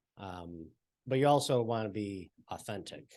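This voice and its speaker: A soft-spoken man mumbles with ordinary pitch variation. The background is quiet. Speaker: TV reporter. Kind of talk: panel discussion. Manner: mumbling.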